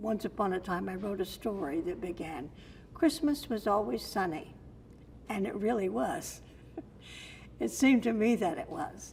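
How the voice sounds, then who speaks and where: Vocal fry runs through this American accent, spoken at a moderate pace. Pitch swings very widely, with long, frequent pauses. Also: woman, medium pitch for a woman. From Sarasota, Florida. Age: 80s+. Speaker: storyteller. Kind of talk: interview answer.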